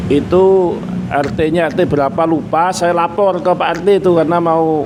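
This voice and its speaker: With audible room echo and noticeable background noise, a man with a high pitch talks at a moderate pace with fairly even intonation. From East Java (Nganjuk). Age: 50s. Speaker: meatball and soto shop owner. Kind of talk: casual interview chat.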